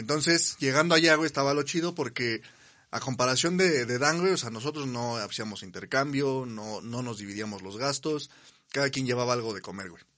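Bright, sharp speech moves at a fairly quick pace with ordinary pitch variation against a quiet background. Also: man, medium pitch for a man, big swings in loudness. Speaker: podcast co-host. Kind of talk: casual chat.

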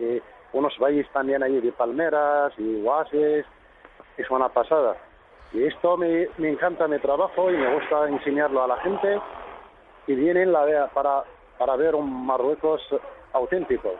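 A man's fairly high-pitched voice at a moderate pace and very even loudness, with long, frequent pauses and noticeable background noise. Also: ordinary pitch variation. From Morocco, High Atlas. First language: Berber (Tamazight) (speaking Spanish). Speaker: tour guide. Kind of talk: radio interview. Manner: halting.

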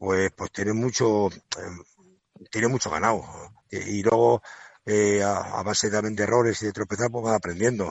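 The man's pitch is fairly low. He speaks at a fairly slow pace in a monotone, flat intonation. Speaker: retiring banderillero. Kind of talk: interview. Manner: halting.

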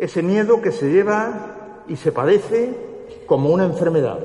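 A high-pitched man with lively intonation at a fairly slow pace, over noticeable background noise. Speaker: presenter introducing the orator. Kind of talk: formal oratorical introduction.

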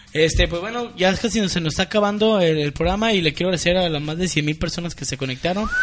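Amid noticeable background noise, the speaker rushes at a very fast pace with hardly any pauses and ordinary pitch variation. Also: man, high pitch for a man. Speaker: internet radio show host. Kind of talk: casual chat.

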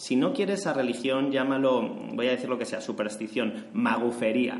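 A man with a Spanish accent at a moderate pace, with audible room echo and noticeable background noise. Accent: Spanish (Spain). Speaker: podcast host. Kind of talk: interview.

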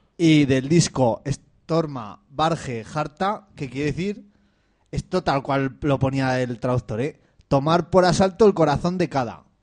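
Fairly high male speech, fairly slow, with ordinary pitch variation. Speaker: community radio host. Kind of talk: casual chat. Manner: loud.

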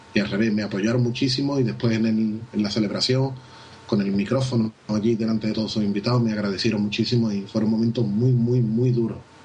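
Over music in the background and audible room echo, a man talks at a very fast pace and a medium pitch with fairly even intonation. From Spain, Seville. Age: 30s. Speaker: wedding photographer. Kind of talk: interview.

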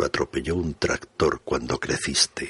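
A man talks at a fairly slow pace, his voice dry and close with no echo. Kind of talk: poetry reading.

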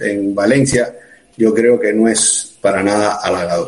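There is noticeable background noise. A man talks at a very slow pace. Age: 40s. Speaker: emergency doctor. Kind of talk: live-streamed interview. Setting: video call.

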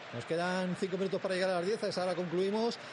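A man with a Madrid accent talks very fast in an animated tone, with noticeable background noise behind him. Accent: Peninsular Spanish (Madrid). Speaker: radio sports presenter. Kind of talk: live radio match presentation and studio commentary. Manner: animated, fluent.

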